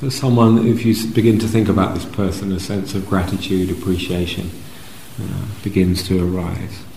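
Noticeable background noise sits behind a man with a fairly low pitch. His tone is gentle and calm, with fairly even intonation. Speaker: meditation teacher. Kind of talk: guided meditation. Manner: slow, soft-spoken, with long pauses between short phrases; gentle, calm, soothing.

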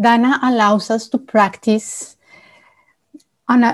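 A woman with a normal speaking voice talks at a fairly slow pace and a fairly high pitch, her intonation fairly even. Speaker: retreat staff member. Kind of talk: reading an announcement about donations. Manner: formal, measured.

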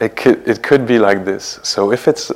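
Noticeable background noise surrounds this man as he talks with a French accent. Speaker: meditation teacher. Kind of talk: guided meditation. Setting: meditation hall at retreat center. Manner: slow, soft, calm, with long pauses; gentle, unhurried, warm.

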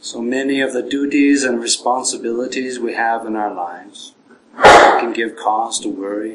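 With fairly even intonation, a man talks at a medium pitch and moderate tempo while noticeable noise sounds in the background. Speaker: Buddhist monk leading guided meditation. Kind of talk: guided meditation. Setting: evening talk in a meditation center. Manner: gentle, measured with long pauses.

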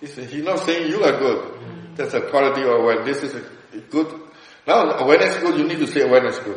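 A man talks at a very fast pace, his loudness swinging widely, with noticeable background noise behind him. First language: Burmese. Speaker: meditation teacher. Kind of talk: dharma discussion. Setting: meditation centre. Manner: halting.

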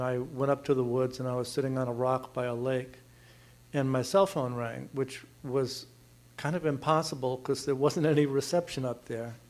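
A man with a plain, everyday voice talks at a moderate pace, fairly high in pitch, with fairly even intonation. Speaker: audience member. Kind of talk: personal story. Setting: meditation hall with audience.

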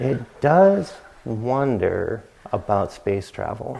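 Crowd noise fills the background as a man speaks. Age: 50s. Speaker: meditation teacher. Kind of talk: dharma talk. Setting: retreat center meditation hall.

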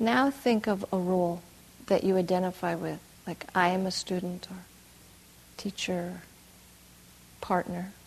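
A woman speaks in a calm, soothing tone that is somewhat breathy, with fairly even intonation. She pauses long and often. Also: medium pitch for a woman, fairly slow pace. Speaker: meditation teacher. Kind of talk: guided meditation. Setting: retreat hall with group. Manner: slow, soft, calm and soothing, with long pauses; warm, gently laughing.

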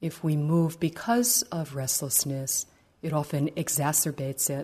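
A woman's very deep, low, somewhat breathy voice with a gentle, calm tone, a dark, mellow tone, ordinary pitch variation and a quiet background. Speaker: meditation teacher. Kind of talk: guided meditation. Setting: meditation retreat hall. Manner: slow, gentle, calm; soft-spoken, unhurried.

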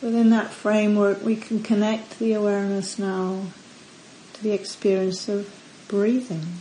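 A woman with a medium-pitched voice speaks in a calm, gentle tone with monotone, flat intonation over noticeable background noise. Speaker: meditation teacher. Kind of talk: guided meditation. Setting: retreat center. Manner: slow, calm, soft-spoken; gentle, long pauses between instructions.

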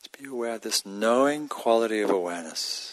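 A man's normal speaking voice, fairly low in pitch, with ordinary pitch variation and a fairly quick pace. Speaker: meditation teacher. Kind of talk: guided meditation. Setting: meditation center with live audience.

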